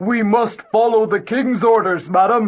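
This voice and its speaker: A man's put-on character voice, high-pitched, with fairly even intonation at a moderate pace. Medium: read story. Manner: formal, dutiful.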